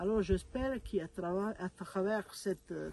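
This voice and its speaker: A woman with an Italian accent speaks at a very slow pace with ordinary pitch variation. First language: Italian (speaking French). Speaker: mother of a beatified young man. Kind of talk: video message to a congress. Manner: halting, many hesitations.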